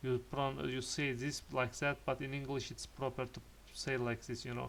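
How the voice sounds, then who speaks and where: Moderate-paced speech from a man with a non-native accent. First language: not English. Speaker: architect and parametric design YouTuber. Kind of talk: casual talk to camera, portfolio presentation. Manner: halting, many hesitations and repetitions.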